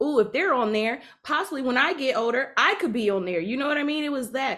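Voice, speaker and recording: Using an ordinary speaking voice, a woman talks at a fairly quick pace with lively intonation. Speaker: podcast co-host. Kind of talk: casual interview. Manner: laughs often.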